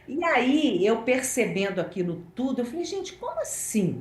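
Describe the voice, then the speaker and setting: Her pitch swinging very widely, a woman talks at a fairly slow pace amid audible room echo. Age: 60s. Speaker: journalist. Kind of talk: interview.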